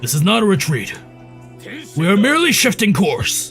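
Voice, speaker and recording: Clear music plays in the background as a man puts on a raspy character voice with a high pitch. He speaks at a moderate pace. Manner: stern, authoritative.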